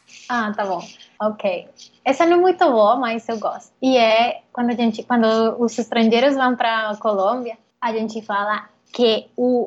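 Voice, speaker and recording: Speaking with a Spanish accent, a woman uses a fairly high pitch and ordinary pitch variation. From Colombia, Bogotá. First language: Spanish (speaking Portuguese). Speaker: interview guest. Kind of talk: interview. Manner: halting.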